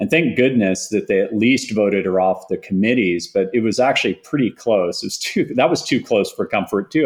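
A man with an American accent speaks in a normal speaking voice at a moderate pace, his intonation lively against a quiet background. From Texas, Austin. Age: 40s. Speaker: tech entrepreneur. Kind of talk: interview.

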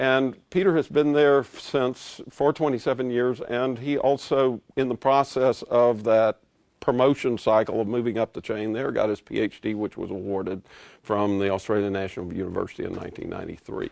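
A man with a plain, everyday voice at a medium pitch, ordinary pitch variation and a moderate pace, dry and close with no echo, over a quiet background. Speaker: historian introducing speaker. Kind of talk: formal introduction.

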